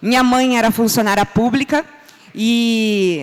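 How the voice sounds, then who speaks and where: Clearly audible noise surrounds a woman whose tone is animated. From São Paulo state, Brazil (ABC region). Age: 40s. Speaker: business speaker. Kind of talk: conference talk. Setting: stage with audience.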